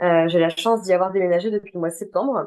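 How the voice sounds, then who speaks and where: A woman's medium-pitched voice, dark and mellow in tone, with fairly even intonation. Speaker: hospitality IT consultant. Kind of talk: webinar closing remarks. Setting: video call webinar. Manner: hesitant, many fillers.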